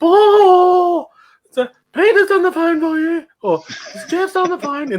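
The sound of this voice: Pitched extremely high, the man performs a put-on character voice. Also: fairly slow pace.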